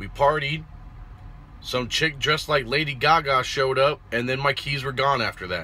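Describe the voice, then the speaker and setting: At a moderate pace and with ordinary pitch variation, a man speaks over light background noise. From Puerto Rican family, born in El Paso, Texas. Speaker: truck driver vlogger. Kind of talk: casual vlog monologue. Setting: at a truck yard, selfie video. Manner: laid-back, swearing, laughing. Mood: relaxed, joking, slangy. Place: car. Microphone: phone near.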